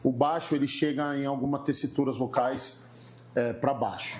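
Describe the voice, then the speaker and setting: The man's voice is fairly high. He keeps a moderate speed. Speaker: gospel singer. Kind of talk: casual chat.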